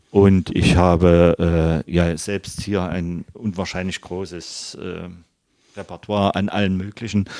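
In monotone, flat intonation, a man with a very deep, low pitch speaks at a very slow pace. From Leipzig, Saxony (eastern Germany). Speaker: fountain pen repairer. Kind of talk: interview. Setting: workshop. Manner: relaxed.

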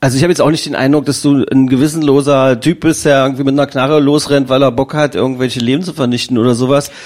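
A man talks at a very fast pace with hardly any pauses. His fairly high voice has monotone, flat intonation. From Magdeburg, eastern Germany. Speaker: podcast host. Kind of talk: casual interview.

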